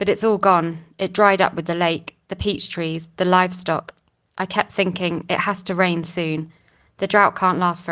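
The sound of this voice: In an unforced reading voice, the intonation stays fairly even against a quiet background.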